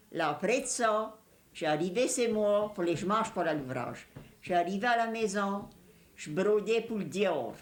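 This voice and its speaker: At a fairly slow pace, a woman talks in a medium pitch with lively intonation. Room echo is audible. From Louisiana, Cajun country. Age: 60s. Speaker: elderly Cajun woman interviewee. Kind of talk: reminiscing interview.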